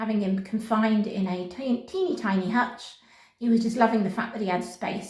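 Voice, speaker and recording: A woman with a British accent speaks at a moderate pace and fairly high pitch, her intonation fairly even, with noticeable background noise and audible room echo. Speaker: pet rabbit vlogger. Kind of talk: casual vlog talking to camera and pet rabbit. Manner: switches between camera voice and soft pet-talk voice.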